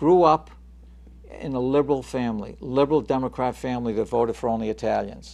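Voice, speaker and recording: Here a man talks at a very fast pace. The background is quiet. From Chelsea, Massachusetts (Boston area). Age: 60s. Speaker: talk show host. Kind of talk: political talk show discussion.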